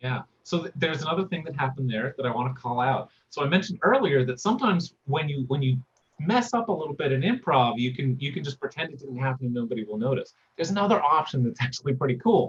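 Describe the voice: Fast, lively speech from a man at medium pitch, with a slightly husky edge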